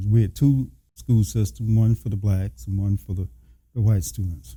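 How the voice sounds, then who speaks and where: A man's fairly low, somewhat breathy voice with an American accent, a dark, mellow tone, ordinary pitch variation and a moderate pace. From US South, rural south Georgia / north Florida. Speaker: retired army colonel and judge. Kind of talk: interview testimony. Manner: measured, with frequent hesitations.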